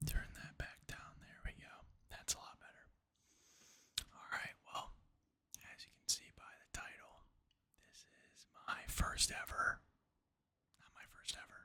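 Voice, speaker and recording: Whispering, a man speaks at a very slow pace with long, frequent pauses. His loudness swings widely. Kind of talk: casual talk to camera. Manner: whispered.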